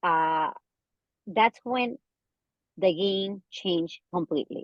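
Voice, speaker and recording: A medium-pitched woman's voice with a Spanish accent, very slow, with ordinary pitch variation and a dry, close sound with no echo. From Ecuador. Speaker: business owner, marketer. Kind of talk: interview.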